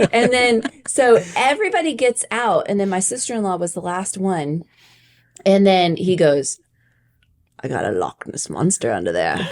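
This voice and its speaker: A woman speaks in an animated tone at medium pitch and a moderate pace, with very wide pitch swings. Long, frequent pauses break up her speech. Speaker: podcast co-host. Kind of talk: casual chat.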